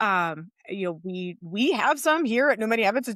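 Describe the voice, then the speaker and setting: A woman talks in a normal speaking voice at medium pitch with lively intonation. The recording is very clean with a silent background and a dry, close sound with no echo. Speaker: podcast co-host for financial coaches. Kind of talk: podcast conversation.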